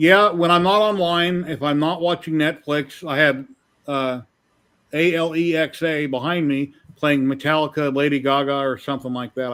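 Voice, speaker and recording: Ordinary pitch variation marks a plain, everyday voice that keeps a moderate pace. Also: man, fairly high pitch for a man. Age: 50s. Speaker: livestream host. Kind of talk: casual chat.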